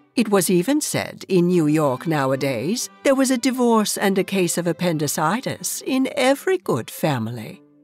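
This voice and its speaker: The speech runs at a moderate pace with music in the background. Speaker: audiobook narrator. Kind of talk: audiobook narration, promotional excerpt.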